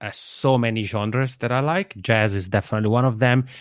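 Medium in pitch, a man with an Italian accent speaks with ordinary pitch variation. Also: very clean recording, silent background. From Switzerland, Italian-speaking region. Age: 30s. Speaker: podcaster. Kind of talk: interview. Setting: internet call.

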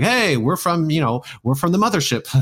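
A man speaks with a General American accent. His pace is very fast. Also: very clean recording, silent background. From US Pacific Northwest, Seattle; raised partly in Utah. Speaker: world traveler and polyglot working at a brain implant company. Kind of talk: casual interview. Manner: animated, repeats words often.

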